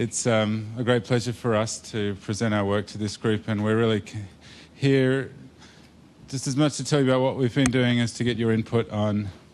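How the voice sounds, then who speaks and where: At a moderate pace, a man speaks in a medium pitch. His intonation stays fairly even. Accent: Australian. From Australia. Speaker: computer science academic, conference presenter. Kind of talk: technical talk to a user group. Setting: live talk with audience.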